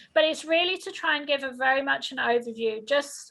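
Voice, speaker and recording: High-pitched woman's voice, raised and projected, bright and sharp in tone, with ordinary pitch variation. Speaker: health insurance counselor. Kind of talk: informational presentation. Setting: video call. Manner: fast.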